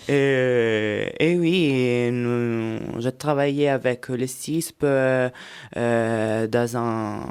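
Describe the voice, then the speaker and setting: With an Italian accent, a man speaks very slowly at a medium pitch, keeping his intonation fairly even and his loudness very even. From central Italy, near Rome. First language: Italian (speaking French). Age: 30s. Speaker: European volunteer. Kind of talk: interview. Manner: halting, many hesitations.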